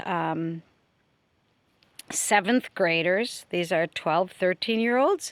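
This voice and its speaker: A woman speaks at a fairly low pitch with fairly even intonation. The recording is very clean, with a silent background and a dry, close sound with no echo. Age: 60s. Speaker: retired teacher and video blogger. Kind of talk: casual video monologue. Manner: halting, with fillers.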